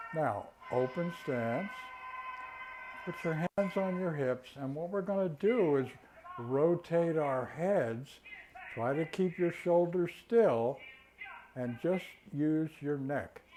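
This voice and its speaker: A man speaks very slowly, with long, frequent pauses, over noticeable background noise. His tone is calm, yet his intonation is lively. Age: 80s+. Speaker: tai chi and qigong instructor. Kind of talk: exercise class instruction. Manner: slow, calm verbal cues.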